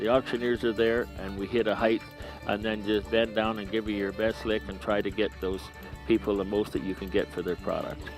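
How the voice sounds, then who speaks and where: A man's fairly low voice at a moderate pace, with music in the background. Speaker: auctioneer. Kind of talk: interview answer about auctioneering.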